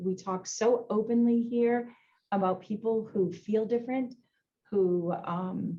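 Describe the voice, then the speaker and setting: Speaking in a Boston accent, a woman has a dark, mellow tone. She keeps a fairly slow pace and fairly even intonation. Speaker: insurance executive. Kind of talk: panel discussion. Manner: halting, many fillers.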